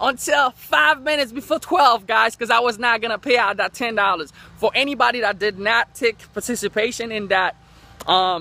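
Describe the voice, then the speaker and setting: A man's raised, projected voice with a bright, sharp tone in a dry sound with no echo. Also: ordinary pitch variation, moderate pace. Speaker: online marketer vlogger. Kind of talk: casual vlog chat. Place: street. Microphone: phone near.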